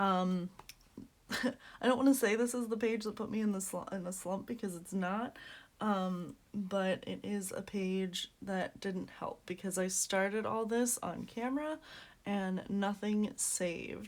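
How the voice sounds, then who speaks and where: A woman talks quietly at a fairly slow pace. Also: medium pitch for a woman, ordinary pitch variation. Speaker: coloring hobby youtuber. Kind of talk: casual chat. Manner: speaking quietly; hesitant, many fillers.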